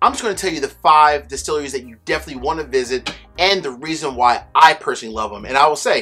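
Over faint music in the background, a man speaks at a fairly quick pace. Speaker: bourbon reviewer host. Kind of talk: casual vlog chat. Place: home room.

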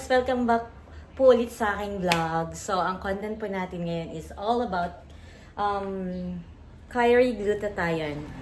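A woman with a Visayan accent speaks at a fairly slow pace and medium pitch, with ordinary pitch variation and big swings in loudness. Noticeable background noise and audible room echo surround her. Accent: Visayan accent in Tagalog. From Visayas, Philippines. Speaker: vlogger. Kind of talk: product review vlog. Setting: in a car on a highway. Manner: halting.

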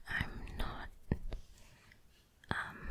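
A soft-spoken woman whispering over loud background noise. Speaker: makeup video creator. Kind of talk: casual vlog chat. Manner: soft whisper, searching for words. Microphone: studio mic.

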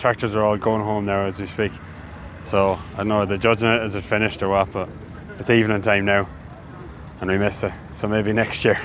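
Delivered at a very fast pace in a northwest Irish accent, the speech breaks with long, frequent pauses, in a dry sound with no echo and light background noise. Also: man, fairly low pitch for a man. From Ireland, Sligo; Ireland. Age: 20s. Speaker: farmer and sheep shearer; sheep shearer vlogger. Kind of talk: casual vlog chat. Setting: outdoors at agricultural show. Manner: animated. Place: open country. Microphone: phone near.

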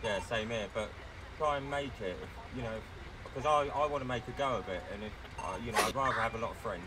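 Amid noticeable background noise, a man at medium pitch talks very fast with ordinary pitch variation, yet leaves long, frequent pauses. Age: 50s. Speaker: gamer playing a paramedic in role-play. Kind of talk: casual chat during role-play gaming.

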